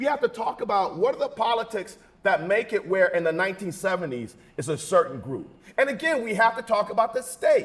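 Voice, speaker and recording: A loud man speaks at a high pitch in an animated tone. His intonation is lively, and his pace is fairly quick. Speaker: panelist, political scientist. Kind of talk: panel discussion.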